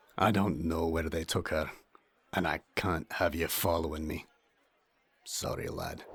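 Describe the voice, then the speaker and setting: Using a put-on character voice that is very deep, low-pitched and raspy, a man speaks at a moderate pace in monotone, flat intonation with long, frequent pauses, on a very clean recording against a silent background. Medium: audio drama. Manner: rough, coarse talker with slang and double negatives.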